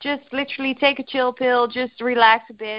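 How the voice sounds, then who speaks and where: Speaking with a Dutch accent, a woman keeps her intonation fairly even. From Netherlands. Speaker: eating disorder recovery coach. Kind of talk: casual interview chat. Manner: hesitant, filler words.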